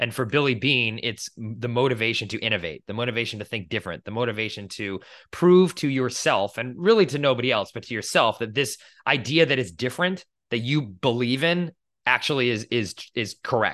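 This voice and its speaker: A man speaks in an ordinary speaking voice with an American accent and a medium pitch. His pace is fairly quick and his intonation lively. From Boston, US. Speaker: podcast co-host. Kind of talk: casual chat.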